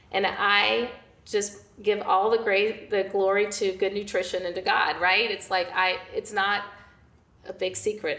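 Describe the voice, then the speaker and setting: Noticeable background noise sits behind a woman speaking at a moderate pace. Her intonation is fairly even. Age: 60s. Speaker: nutrition and fitness coach. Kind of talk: casual chat.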